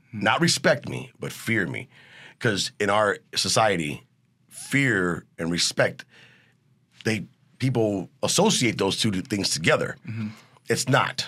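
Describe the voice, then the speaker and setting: An American-accented man speaks at a fairly slow pace with long, frequent pauses, a fairly low pitch, very wide pitch swings and vocal fry. His tone is bright and sharp, on a very clean recording with a silent background. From US Midwest, East Chicago, Indiana. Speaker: actor and chef. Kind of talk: interview.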